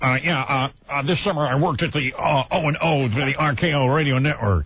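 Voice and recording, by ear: Using a put-on character voice, a man speaks at a fairly quick pace and a fairly high pitch. His loudness stays very even.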